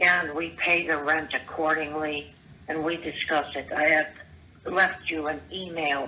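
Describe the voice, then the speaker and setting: A woman's very deep, low voice with fairly even intonation against noticeable background noise. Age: 70s. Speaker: caller leaving voicemails. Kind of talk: voicemail rant. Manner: halting.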